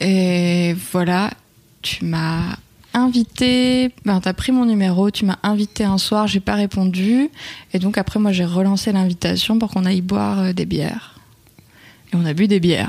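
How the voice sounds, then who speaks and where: A woman's normal speaking voice, medium in pitch, with ordinary pitch variation and a fairly slow pace. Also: very even loudness. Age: 20s. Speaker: web developer and stepmother. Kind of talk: casual interview.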